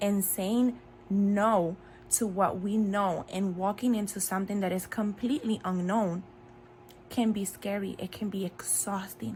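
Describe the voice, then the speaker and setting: Speech comes at a fairly slow pace with a Spanish accent. The voice is somewhat breathy, and the intonation stays fairly even. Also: woman. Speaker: faith video creator. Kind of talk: devotional talk. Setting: in bed at home.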